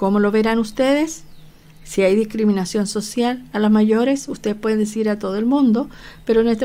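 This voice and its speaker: At a fairly quick pace, a woman speaks with a fairly high pitch, a dark, mellow tone and fairly even intonation. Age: 60s. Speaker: nurse lecturer. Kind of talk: online lecture. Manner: hesitant, many fillers.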